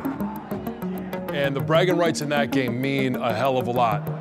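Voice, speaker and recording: A man talks while loud music fills the background. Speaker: colleague or producer in sports broadcasting. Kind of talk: interview answer. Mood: emphatic, enthusiastic. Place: office.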